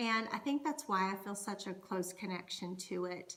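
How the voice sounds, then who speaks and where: A woman with a North Carolina accent at a fairly slow pace, over noticeable background noise. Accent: Southern US (North Carolina). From US South, North Carolina. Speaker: Scottish dance performer and culture educator. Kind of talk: educational monologue. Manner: conversational.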